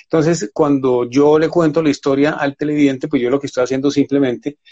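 The man's voice sits fairly high in pitch. It rises and falls in an ordinary way. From Colombia, Valle del Cauca (Buga). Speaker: TV news presenter and journalist. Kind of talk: interview. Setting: at home during quarantine. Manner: halting.

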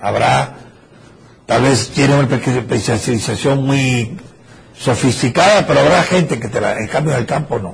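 Against noticeable background noise and audible room echo, a man of medium pitch speaks at a fairly slow pace with lively intonation. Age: old. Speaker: professor. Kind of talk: lecture.

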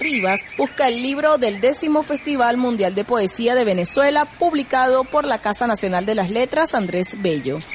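A high-pitched woman at a moderate pace, with very wide pitch swings and noticeable background noise. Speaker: podcast host. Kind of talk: news-style narration introducing and summarizing a poet's biography. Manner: formal, measured, clear.

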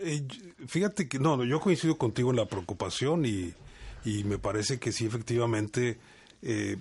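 This man's voice is medium-pitched and somewhat breathy. He talks at a fairly slow pace with ordinary pitch variation. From Mexico, Monterrey and Veracruz. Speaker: university academic director. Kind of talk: casual interview. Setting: radio studio. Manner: halting, repeats words.

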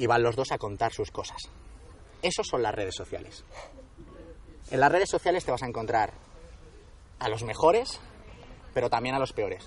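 The voice is somewhat breathy, with lively intonation, a moderate pace, and long, frequent pauses. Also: man, medium pitch for a man. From Spain, Madrid region (Alcalá de Henares). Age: 20s. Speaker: endurance sports coach. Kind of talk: interview. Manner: halting.

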